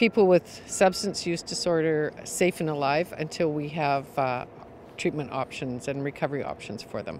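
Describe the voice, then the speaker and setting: There is light background noise as a woman talks in a dry sound with no echo. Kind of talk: interview answer. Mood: somber, grieving but composed. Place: street.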